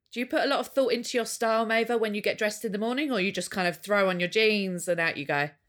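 Speaking in an English accent, a woman goes at a very fast pace with hardly any pauses. Her voice is fairly high, with ordinary pitch variation. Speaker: podcast co-host. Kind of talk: casual chat. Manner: giggly.

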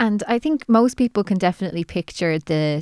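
A woman with an Irish accent speaks at a fairly quick pace on a very clean recording with a silent background. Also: dry, close sound with no echo. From Ireland. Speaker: podcast host and editor. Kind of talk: interview.

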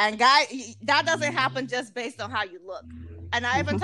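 A woman talks at a fairly quick pace with vocal fry and ordinary pitch variation. Her tone is bright and sharp. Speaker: podcast host and escort. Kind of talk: casual interview chat.

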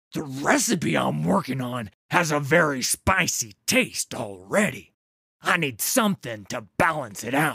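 Loud and growling, a man performs a put-on character voice at a fairly high pitch, swinging it very widely at a fairly slow pace. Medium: read story. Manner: blunt.

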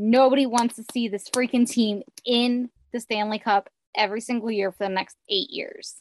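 A woman's normal speaking voice with an American accent, fairly high in pitch, at a moderate pace with fairly even intonation, in a dry, close sound with no echo. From Philadelphia. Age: 30s. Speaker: sports podcaster. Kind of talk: casual chat.

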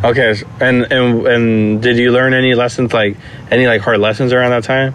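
Noticeable background noise sits behind a man's medium-pitched voice. His intonation is monotone and flat. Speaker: podcast host. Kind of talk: casual interview chat. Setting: recording at a friend's house.

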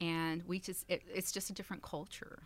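A woman talks in a plain, everyday voice at a fairly quick pace. She has an American accent. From Texas, Dallas. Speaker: nonprofit director. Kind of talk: interview.

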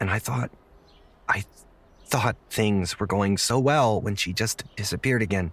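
A man uses a raspy, put-on character voice at a fairly low pitch. He keeps a moderate pace, broken by long, frequent pauses. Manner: hesitant, stammering, then desperate shouting.

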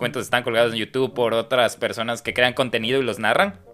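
A man with fairly even intonation over music in the background. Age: 30s. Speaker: podcast host. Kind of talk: casual interview chat.

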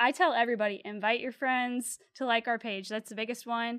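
On a very clean recording with a silent background, a woman with an American accent speaks at high pitch with ordinary pitch variation, the sound dry and close with no echo. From Louisiana (Slidell, North Shore). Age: 20s. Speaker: clothing brand co-founder. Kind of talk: casual interview.

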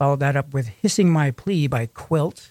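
Recorded with a dry, close sound and no echo, a man speaks at a moderate pace and a fairly high pitch, with ordinary pitch variation. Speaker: radio host. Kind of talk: radio DJ patter. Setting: radio studio. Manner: casual, upbeat, friendly; conversational, promotional.

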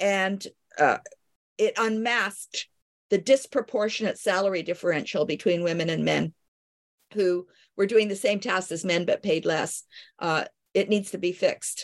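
A woman in a Canadian accent at a moderate pace, medium in pitch with ordinary pitch variation, long, frequent pauses, and a dry, close sound with no echo. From Canada. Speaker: medical historian and physician. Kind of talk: interview.

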